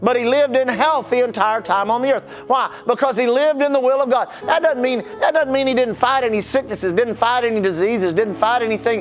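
Fairly quick pace and hardly any pauses, with noticeable background noise. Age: 60s. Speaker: pastor. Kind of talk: sermon.

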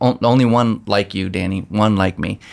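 Speaking at a moderate pace, a man with an unremarkable speaking voice keeps a fairly low pitch with ordinary pitch variation. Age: 50s. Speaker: pastor. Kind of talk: casual chat. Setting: office.

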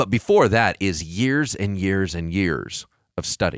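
A man's fairly low-pitched voice at a fairly slow pace, in a very clean recording with a silent background. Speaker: pastor. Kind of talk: casual chat. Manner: declarative, strong delivery.

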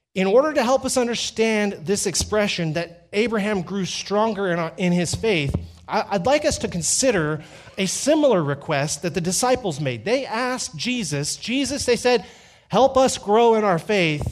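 A man speaks in a high pitch with very wide pitch swings. Music plays in the background. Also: moderate pace. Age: 40s. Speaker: pastor. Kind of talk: sermon. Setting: church.

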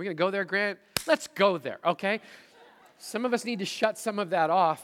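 A man speaks at a moderate pace in a bright, sharp tone with ordinary pitch variation. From Manitoba, Canadian prairies. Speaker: pastor. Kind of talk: sermon. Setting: church service with congregation.

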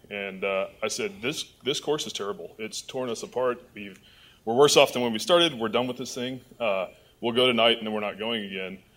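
Speaking at a fairly quick pace in a plain, everyday voice, a man with an American accent uses medium pitch and ordinary pitch variation. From Michigan. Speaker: judge. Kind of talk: testimony. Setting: church.

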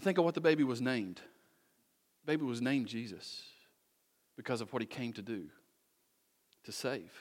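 A man with an animated tone talks at a fairly quick pace, with big swings in loudness and long, frequent pauses. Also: medium pitch for a man. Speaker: pastor. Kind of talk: sermon. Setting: church.

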